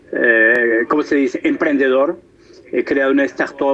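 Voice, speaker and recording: A man talks at a moderate pace while noticeable background noise carries on behind him. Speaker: professor. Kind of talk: lecture. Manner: halting, many hesitations.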